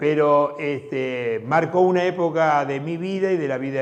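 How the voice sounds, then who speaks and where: In a Rioplatense accent, a man speaks at a fairly high pitch with ordinary pitch variation. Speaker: community TV host. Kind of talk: casual commentary. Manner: halting, repetitive.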